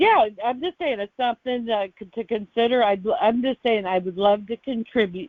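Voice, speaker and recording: A woman with an ordinary speaking voice talks at a moderate pace in a fairly high pitch, using lively intonation and hardly any pauses. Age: 50s. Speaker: guest sharing testimonial. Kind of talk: podcast interview answer.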